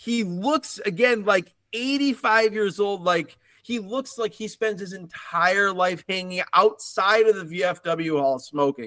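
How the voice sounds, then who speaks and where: In a raised, projected voice with a bright, sharp tone, a man speaks high for a man, with lively intonation, at a fairly slow pace and hardly any pauses. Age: 40s. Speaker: podcast host. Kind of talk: casual chat.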